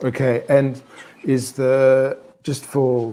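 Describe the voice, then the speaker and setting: A man talks with an Australian accent. His pitch sits in the medium range. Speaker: English teacher. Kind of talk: conversation class. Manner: slow, clear.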